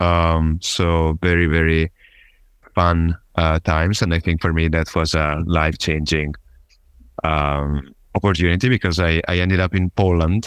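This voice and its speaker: In an Italian accent, a man speaks at a very deep, low pitch and a fairly slow pace. His intonation is monotone and flat, the sound dry and close with no echo. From Italy, Genoa. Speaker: startup founder and CEO. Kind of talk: interview. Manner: halting, many fillers.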